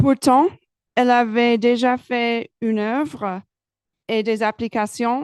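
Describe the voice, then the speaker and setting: Very slowly and with fairly even intonation, a woman speaks at a fairly high pitch in a dry, close sound with no echo against a quiet background. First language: English (speaking French). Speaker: research supervisor. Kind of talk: prepared speech.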